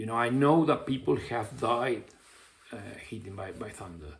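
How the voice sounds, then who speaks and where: Vocal fry colors a man's speech at a very slow pace. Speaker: football coach and YouTuber. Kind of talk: casual monologue vlog. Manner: hesitant, many fillers.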